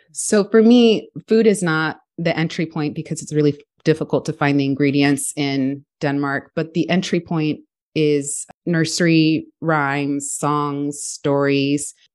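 A woman speaks with a very deep, low pitch and ordinary pitch variation. She goes at a fairly slow pace against a quiet background. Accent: American. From Houston, Texas. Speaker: education researcher and parenting educator. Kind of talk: interview.

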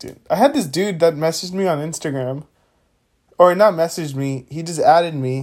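A man with an ordinary speaking voice talks at a fairly quick pace, his pitch fairly high for a man and his loudness swinging widely. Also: ordinary pitch variation. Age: 20s. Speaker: podcast co-host. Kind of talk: casual chat.

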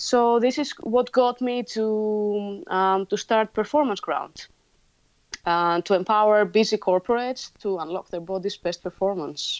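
Over a quiet background, an unremarkable speaking voice goes at a fairly slow pace with ordinary pitch variation. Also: woman, fairly high pitch for a woman. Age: 30s. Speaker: gym founder. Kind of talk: interview.

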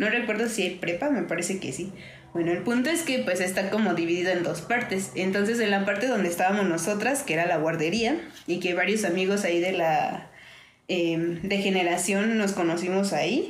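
A woman speaks at a moderate pace with a medium pitch and ordinary pitch variation. Noticeable background noise and audible room echo are present. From Mexico, Orizaba, Veracruz. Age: 20s. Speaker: visual artist. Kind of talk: casual chat.

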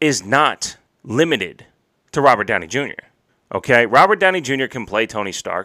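With a New York accent, a man speaks at a moderate pace in a fairly high pitch, his tone bright, sharp and animated. His pitch swings very widely, and the recording is very clean with a silent background. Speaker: wrestling podcast host. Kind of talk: angry rant about wrestling. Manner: profane, fired up.

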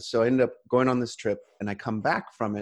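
Against a quiet background, a man with an American accent talks at a very fast pace with fairly even intonation. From California. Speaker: coach. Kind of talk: interview conversation.

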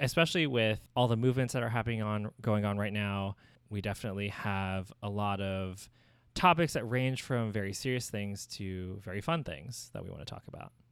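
On a very clean recording with a silent background, a man with an unremarkable speaking voice talks fairly quickly at a fairly low pitch with ordinary pitch variation. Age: 30s. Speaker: podcast co-host and designer. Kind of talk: casual chat.

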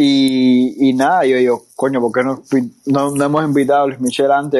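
A man with a normal speaking voice, fairly high pitch and a fairly quick pace. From Cuba. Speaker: podcast host. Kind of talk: casual interview. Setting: online audio room.

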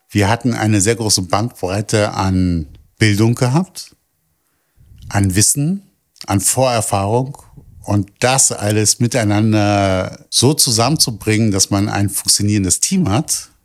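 A man speaks at a very slow pace and fairly low pitch, with ordinary pitch variation. The recording is very clean, with a silent background. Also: very even loudness. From Berlin (Kreuzberg). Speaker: project staff doing outreach. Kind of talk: interview.

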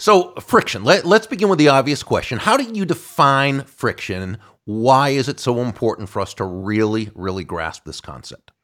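A man speaks at a medium pitch with very wide pitch swings and big swings in loudness. He keeps a moderate pace with hardly any pauses, in a very clean recording with a silent background. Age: 60s. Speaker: podcast host. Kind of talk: interview.

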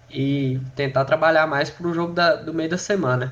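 Speaking at a moderate pace, a man has an unremarkable speaking voice at a fairly high pitch. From Goiás, Brazil. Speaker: podcast host, football fan. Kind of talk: casual football chat.

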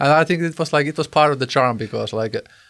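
A man talking very fast with ordinary pitch variation, on a very clean recording with a silent background. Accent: Finnish. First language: Finnish. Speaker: podcast host and musician. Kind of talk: interview.

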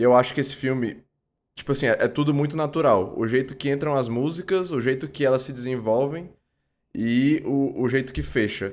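Very clean recording, silent background, with a man at medium pitch and ordinary pitch variation. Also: moderate pace. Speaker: film podcast co-host. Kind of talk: casual chat. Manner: halting.

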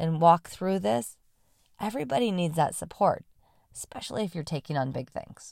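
Against a very clean recording with a silent background, a woman with a fairly low pitch speaks at a moderate pace with very wide pitch swings. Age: 40s. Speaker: motivational vlogger. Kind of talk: motivational monologue.

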